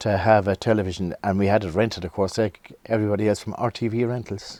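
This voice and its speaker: Speaking at a very fast pace, a man with a fairly low pitch and a dark, mellow tone keeps a monotone, flat intonation. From Ireland, South Kilkenny near Waterford. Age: 60s. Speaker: folk guitarist. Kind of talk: casual interview, life story. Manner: halting, repeats words.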